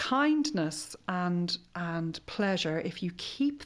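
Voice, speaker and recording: A woman speaks with an Irish accent. Her fairly low voice has lively intonation. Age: 50s. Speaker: sexologist. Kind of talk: casual interview chat.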